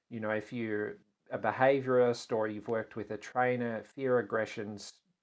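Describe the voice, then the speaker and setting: Here a man speaks with an Australian accent at medium pitch. His pace is moderate and his intonation fairly even. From Australia (Tasmania). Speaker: animal communicator. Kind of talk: interview conversation.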